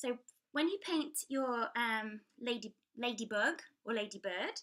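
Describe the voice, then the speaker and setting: Lively and bright, with a sharp tone, a woman speaks at a high pitch in an English accent. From England. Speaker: children's book author and illustrator. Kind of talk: tutorial. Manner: hesitant, with many fillers.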